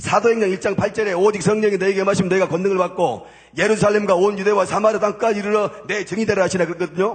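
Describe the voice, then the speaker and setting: Noticeable background noise is present. Over it, a man talks very fast in a high pitch. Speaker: former gangster turned church deacon giving testimony. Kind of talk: church testimony sermon.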